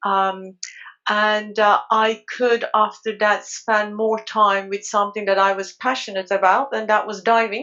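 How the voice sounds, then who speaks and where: A woman with a Turkish accent speaks at a fairly high pitch. Her pace is fairly slow. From Turkey. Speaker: underwater photographer. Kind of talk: casual chat.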